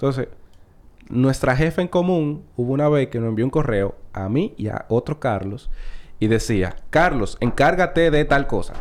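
Speaking at a fairly slow pace with a Dominican accent, a man uses lively intonation and a fairly high pitch, on a very clean recording with a silent background. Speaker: comedian. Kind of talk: casual chat.

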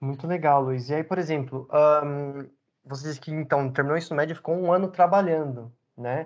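Against a quiet background, the talking runs at a fairly quick pace. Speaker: podcast host. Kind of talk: casual interview.

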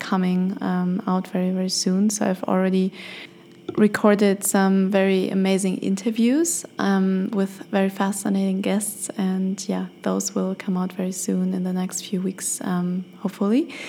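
A woman's medium-pitched voice, monotone and flat, at a fairly slow pace. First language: German. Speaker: podcast host and life coach. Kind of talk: solo podcast monologue. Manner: hesitant, many fillers.

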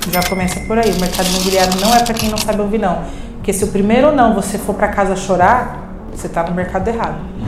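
Amid audible room echo and noticeable background noise, a woman talks very fast at medium pitch with fairly even intonation. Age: 30s. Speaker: real estate sales manager. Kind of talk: casual chat.

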